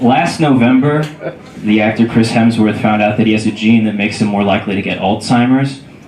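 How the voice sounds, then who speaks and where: A man talks very fast at a fairly low pitch with fairly even intonation. Noticeable background noise runs behind him. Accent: American. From Southern California. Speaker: standup comedian. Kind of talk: standup comedy set in front of a live club audience. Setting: comedy club.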